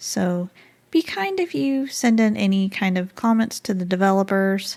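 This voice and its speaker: The voice is an unremarkable speaking voice, moving at a fairly slow pace with ordinary pitch variation. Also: woman. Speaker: gaming YouTuber. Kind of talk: game review talk to camera. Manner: friendly, casual.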